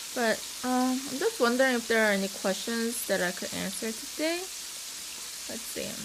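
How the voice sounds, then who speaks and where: A woman speaks at a moderate pace with a slight Korean accent and a fairly high pitch. Her pitch varies in an ordinary way, with long, frequent pauses, noticeable background noise and audible room echo. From South Korea. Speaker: mukbang YouTuber. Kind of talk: casual cooking vlog chat.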